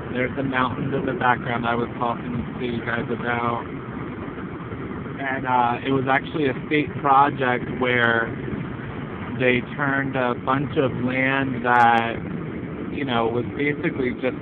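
A man speaks at a fairly slow pace with long, frequent pauses. Noticeable background noise runs underneath. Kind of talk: casual vlog chat. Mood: relaxed, chatty. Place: car. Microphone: phone near.

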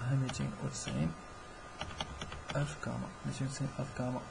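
Fairly quick speech in a Moroccan accent over noticeable background noise. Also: man. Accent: Moroccan Darija. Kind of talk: casual game tutorial talk.

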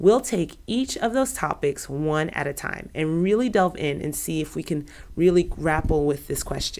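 A woman with a plain, everyday voice speaks fairly slowly, her fairly low pitch carried by lively intonation. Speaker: business attorney. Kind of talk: educational talk to camera. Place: office.

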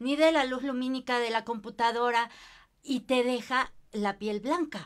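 Against a quiet background, a woman speaks in a high voice at a fairly slow pace. Her pitch varies in an ordinary way. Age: 50s. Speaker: skin care consultant; guest. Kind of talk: casual chat. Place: empty room.

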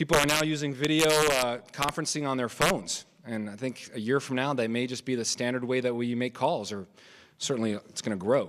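A man at a fairly quick pace, with ordinary pitch variation. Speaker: forum moderator. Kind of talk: panel moderation. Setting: stage with audience. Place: hall. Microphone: podium.

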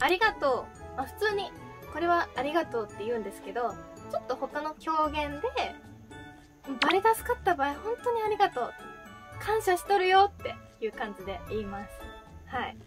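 Clear music plays behind a woman speaking at a moderate pace. She takes long, frequent pauses, and her loudness swings widely. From Fukuoka, Japan. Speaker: idol. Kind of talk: casual talk to camera. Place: home room.

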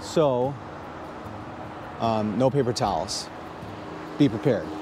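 The speech moves at a fairly slow pace with ordinary pitch variation. The sound is dry with no echo, though noticeable background noise is present. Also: man. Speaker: EV channel host. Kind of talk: casual vlog chat. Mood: upbeat, enthusiastic. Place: street. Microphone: lapel.

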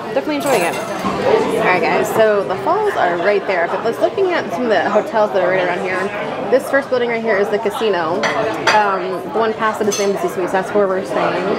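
A woman talks at a very fast pace. Crowd noise fills the background. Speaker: travel vlogger. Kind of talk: casual vlog chat. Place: cafe. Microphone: phone near.

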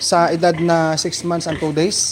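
A man speaks with a high pitch. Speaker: pig farmer and farming vlogger. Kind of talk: casual farm vlog with live shout-outs. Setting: outdoors on a pig farm. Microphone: handheld camera, shaky without stand.

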